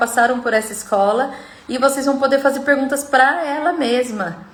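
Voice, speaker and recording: The recording carries audible room echo and noticeable background noise. A woman speaks at a high pitch. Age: 40s. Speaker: self-development coach. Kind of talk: live stream talk. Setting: live stream video call.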